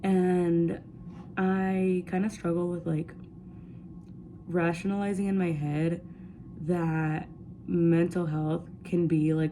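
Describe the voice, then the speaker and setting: Very slowly and with long, frequent pauses, a woman with a fairly low pitch and a dark, mellow tone speaks in a monotone, flat way, with audible room echo. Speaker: vlogger. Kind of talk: casual chat. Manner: loud.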